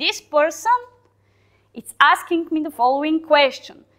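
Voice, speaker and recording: A woman with a Balkan accent speaks in a high pitch at a fairly slow pace. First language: Balkan language, not English. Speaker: software team lead giving a talk. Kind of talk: conference talk. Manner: hesitant, with fillers.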